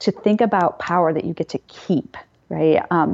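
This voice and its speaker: A woman speaks in a fairly low pitch. She has an unremarkable speaking voice. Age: 40s. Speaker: psychology professor. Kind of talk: interview.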